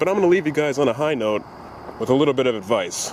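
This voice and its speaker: The man talks at a very fast pace and a fairly high pitch, with ordinary pitch variation, while noticeable background noise runs underneath. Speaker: vlogger. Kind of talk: casual vlog.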